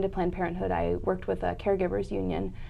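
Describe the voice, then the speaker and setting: There's audible room echo as a woman talks at a very fast pace. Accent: US Midwestern. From US Midwest (Indianapolis, Cleveland). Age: 30s. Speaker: nonprofit public affairs director. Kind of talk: interview.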